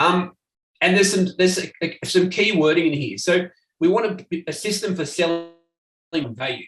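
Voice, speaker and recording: With an Australian accent, a man talks at a high pitch. His pitch variation is ordinary. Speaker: marketing agency owner. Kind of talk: presentation. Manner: fast.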